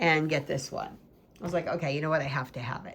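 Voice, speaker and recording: Bright and sharp, a woman with an American accent speaks in an animated tone. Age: 60s. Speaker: tarot YouTuber. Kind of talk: casual show-and-tell video.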